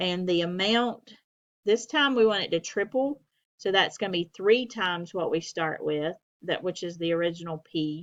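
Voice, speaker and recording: This woman has an ordinary speaking voice, with medium pitch, ordinary pitch variation and a moderate pace. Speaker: math instructor. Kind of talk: lecture.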